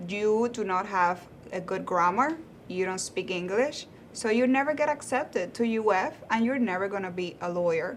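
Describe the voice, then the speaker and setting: Speaking with a Spanish accent, a woman uses lively intonation at a medium pitch. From Cuba. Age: 30s. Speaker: lawyer. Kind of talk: interview.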